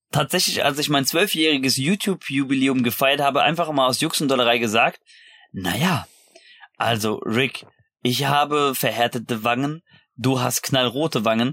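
A man speaks at a medium pitch and moderate pace in a bright, sharp tone with ordinary pitch variation and very even loudness, on a very clean recording with a silent background. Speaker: podcaster and YouTuber. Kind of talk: casual chat. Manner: animated.

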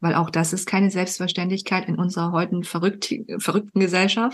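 At a fairly quick pace, a woman with a fairly low pitch sounds somewhat breathy. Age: 30s. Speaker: podcast host and performance coach. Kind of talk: casual interview chat. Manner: animated.

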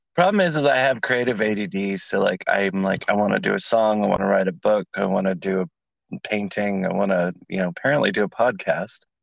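A man's normal speaking voice, fairly low in pitch, with ordinary pitch variation, a fairly quick pace and hardly any pauses, over a quiet background. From California. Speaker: podcast host and drag performer. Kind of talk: casual chat.

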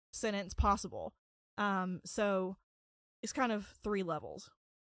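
A woman's voice has a bright, sharp tone. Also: dry, close sound with no echo. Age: 20s. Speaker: criminal defense attorney. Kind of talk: casual chat. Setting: studio.

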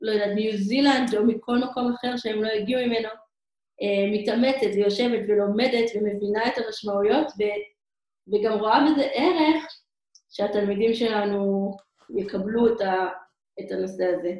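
A woman with a fairly high pitch speaks at a fairly slow pace, using ordinary pitch variation and long, frequent pauses. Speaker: emissary teacher abroad. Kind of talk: interview. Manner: halting.

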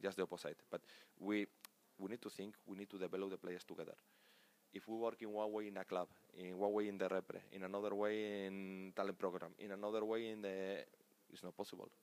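With a Spanish accent, a man speaks fairly quickly in a fairly low, flat monotone, the sound dry and close with no echo. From Spain, Pamplona (Navarra). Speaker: national team sports director and coach. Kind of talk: interview. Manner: halting.

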